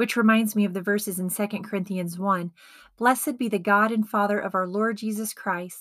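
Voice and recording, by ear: Read aloud in a natural voice, the passage keeps a fairly even intonation.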